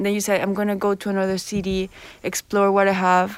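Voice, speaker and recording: A woman with a Spanish accent talks at a fairly quick pace in a medium pitch, recorded dry and close with no echo. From Colombia. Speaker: student podcast host. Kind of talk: interview.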